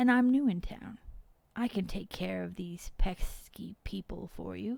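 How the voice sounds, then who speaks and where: Quiet and at a moderate pace, a woman uses a put-on character voice with big swings in loudness. Her pitch sits in the medium range. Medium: read story. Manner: quiet, cool.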